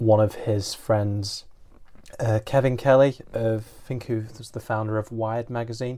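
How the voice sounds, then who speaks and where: A man with a British accent speaks in a monotone at medium pitch, his tone dark and mellow. The recording is very clean and the background silent. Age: 20s. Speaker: podcast host. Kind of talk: casual interview.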